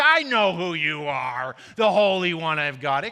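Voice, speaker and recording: A put-on character voice at a fairly slow pace. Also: man, high pitch for a man. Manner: sarcastic, sinister.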